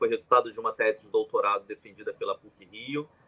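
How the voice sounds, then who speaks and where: The speaker is a man. He has a Rio de Janeiro accent. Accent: Rio de Janeiro (carioca), hissing sibilants. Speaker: journalist and professor. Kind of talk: live panel discussion.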